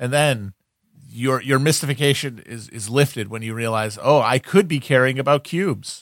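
Speaking in a plain, everyday voice, a man keeps a medium pitch with ordinary pitch variation. He goes at a moderate pace, with big swings in loudness. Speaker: podcast co-host. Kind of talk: casual comedic chat.

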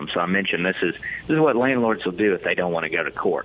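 Someone speaks in a Southern US accent over noticeable background noise. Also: man. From Mississippi, Hattiesburg. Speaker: lawyer. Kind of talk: radio interview. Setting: remote connection.

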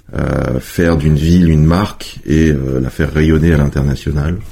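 Noticeable background noise sits under a voice whose intonation is fairly even. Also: man. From France, Savoie (Chambéry area). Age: 40s. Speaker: tourism agency director. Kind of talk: interview.

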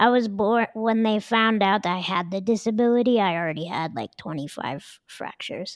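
A woman with a plain, everyday voice speaks at a moderate pace and medium pitch, using ordinary pitch variation and hardly any pauses. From Denver, Colorado. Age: 30s. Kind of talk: casual interview chat.

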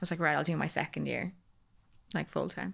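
The recording is very clean, with a silent background. A woman speaks with a bright, sharp tone, vocal fry and fairly even intonation. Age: 30s. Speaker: cancer survivor sharing her story. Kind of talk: casual chat.

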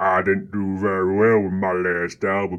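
A man speaks in a fairly low pitch at a fairly slow pace. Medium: audio drama. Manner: apologetic, mournful.

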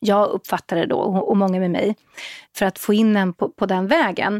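A woman of medium pitch talks at a moderate pace in a plain, everyday voice. The sound is dry and close, with no echo. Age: 40s. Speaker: parenting blogger and media entrepreneur. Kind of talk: casual panel chat.

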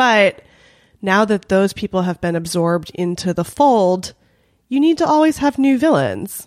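A woman with a Californian accent speaks at a moderate pace with very wide pitch swings, in a dry, close sound with no echo on a very clean recording with a silent background. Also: medium pitch for a woman. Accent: Californian American English. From Los Angeles, North Hollywood. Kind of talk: casual chat. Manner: animated.

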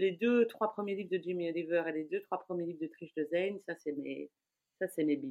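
A woman has a plain, everyday voice. She speaks at a moderate pace with ordinary pitch variation. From Belgium, Brussels. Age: 40s. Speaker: food blogger. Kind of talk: casual interview chat.

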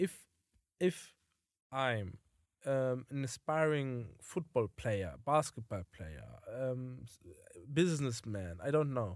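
A man with a German accent speaks very slowly, with long, frequent pauses, lively intonation and big swings in loudness. The sound is dry and close with no echo, in a very clean recording with a silent background. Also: medium pitch for a man. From Germany. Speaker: podcast co-host. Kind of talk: casual chat.

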